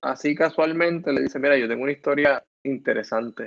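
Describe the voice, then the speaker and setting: A man speaks in a normal speaking voice, his pitch fairly high with ordinary variation. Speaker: podcast co-host. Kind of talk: casual chat.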